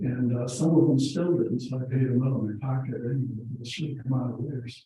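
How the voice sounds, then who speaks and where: The voice belongs to a man and sounds somewhat breathy. He moves at a fairly quick pace, keeping his intonation fairly even. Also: medium pitch for a man. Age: 60s. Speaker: property owner at a public meeting. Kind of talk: casual chat.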